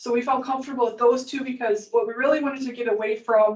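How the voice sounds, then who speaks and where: At a very fast pace, a woman talks with a high pitch and fairly even intonation. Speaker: committee member co-hosting a podcast. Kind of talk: committee meeting discussion. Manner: loud at times; hesitant, many fillers.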